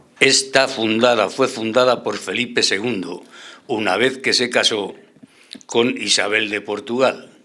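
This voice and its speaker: The man's tone is bright and sharp at a medium pitch. He keeps his intonation fairly even. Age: 80s+. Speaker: panelist. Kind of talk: radio panel debate.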